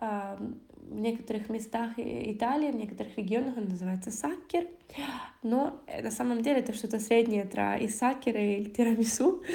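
Audible room echo surrounds a dark, mellow voice with vocal fry, moving at a moderate pace with ordinary pitch variation. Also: woman, fairly high pitch for a woman. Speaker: language teacher. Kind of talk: language lesson podcast.

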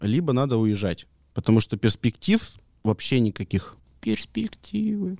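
A man talks at a fairly slow pace with a dark, mellow tone. The sound is dry and close, with no echo. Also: medium pitch for a man, lively intonation. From Omsk, Russia. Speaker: former hockey player, hockey coach. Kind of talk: casual chat.

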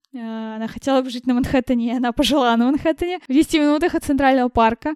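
In a dry, close sound with no echo, a woman uses an ordinary speaking voice, fairly high in pitch with ordinary pitch variation. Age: 20s. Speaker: event manager. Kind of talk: casual interview.

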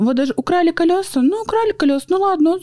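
A woman's dark, mellow voice at a fairly quick pace, dry and close with no echo. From Surgut, Siberia, Russia. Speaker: reality show participant. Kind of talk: casual interview chat.

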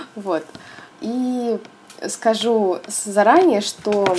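A woman speaks over noticeable background noise. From Russia, Volgograd. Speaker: interior designer. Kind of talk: interview. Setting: remote call.

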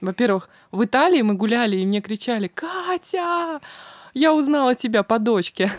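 Recorded dry and close with no echo, a woman speaks at a high pitch with very wide pitch swings. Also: moderate pace. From Russia, Samara region. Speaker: travel agency owner. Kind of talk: interview.

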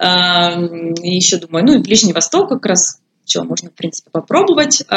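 A woman at medium pitch talks at a moderate pace in an ordinary speaking voice. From Ukraine, Poltava region. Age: 20s. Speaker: expat office worker. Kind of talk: interview.

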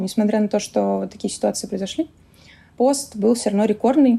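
Medium-pitched woman, somewhat breathy, with a dark, mellow tone. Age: 20s. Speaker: head of a vegan food producer. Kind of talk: casual interview chat.

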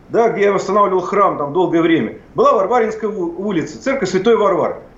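A man speaking at a fairly quick pace, with audible room echo and noticeable background noise. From Plyos, central Russia. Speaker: historian and public official. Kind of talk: heated debate. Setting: remote connection. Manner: animated.

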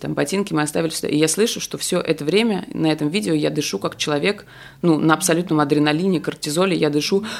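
Very fast speech from a woman with a very deep, low pitch, ordinary pitch variation and vocal fry, on a very clean recording with a silent background. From Moscow, Russia. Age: 40s. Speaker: sex educator and blogger. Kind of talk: casual chat.

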